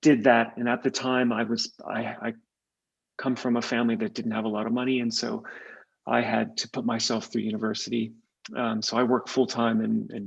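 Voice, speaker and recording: A man speaks fairly quickly at a medium pitch, with vocal fry. His intonation is monotone and flat. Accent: Californian. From California. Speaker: tech executive. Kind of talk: podcast interview.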